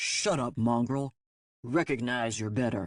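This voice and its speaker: A man slips into a put-on character voice, resonant and at a medium pitch. He goes at a fairly slow pace in a dry, close sound with no echo. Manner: commanding, disdainful.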